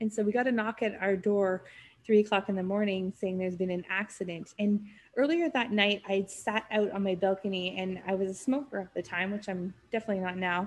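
A woman with a western Canadian accent, fairly quick and fairly even in intonation, against a quiet background. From Canada, North Vancouver. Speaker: podcast producer, business owner. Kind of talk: casual interview chat.

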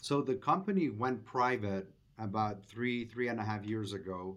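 The pace is moderate. The speech comes with a Spanish accent. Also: man. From Venezuela. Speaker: restaurant chain executive. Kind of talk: interview.

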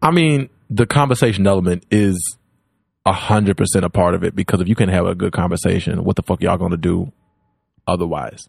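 With a very deep, low pitch and ordinary pitch variation, a man speaks at a fairly quick pace in a dry, close sound with no echo. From Louisiana, Baton Rouge. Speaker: comedian. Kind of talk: casual chat.

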